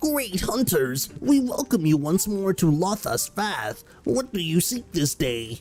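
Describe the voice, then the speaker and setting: In a put-on character voice at a middle pitch, the speaker moves at a fairly slow pace with very wide pitch swings over faint background music. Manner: funny, exaggerated character voice.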